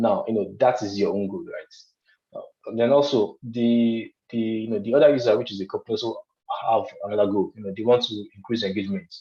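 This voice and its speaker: Speaking at a very fast pace, a man with a medium-pitched voice and a dark, mellow tone keeps his intonation fairly even. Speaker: lecturer. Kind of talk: lecture.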